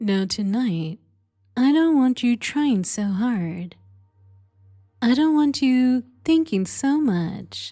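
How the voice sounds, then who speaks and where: A woman with a high voice speaks at a very slow pace, her pitch swinging very widely, with long, frequent pauses and music playing in the background. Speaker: hypnotist. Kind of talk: sleep hypnosis session. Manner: slow, soft-spoken.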